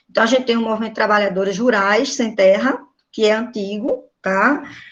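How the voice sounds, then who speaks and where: A woman speaks at a moderate pace in a normal speaking voice. Her pitch sits fairly high and varies in an ordinary way. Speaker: teacher. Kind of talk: online class lecture. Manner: informal.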